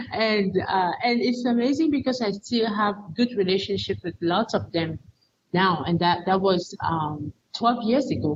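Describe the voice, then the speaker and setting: At a moderate pace, a woman speaks at a medium pitch, somewhat breathy and with lively intonation. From Cameroon. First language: not English. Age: 40s. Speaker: teacher educator and missionary. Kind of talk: interview testimony. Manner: halting, repeats words.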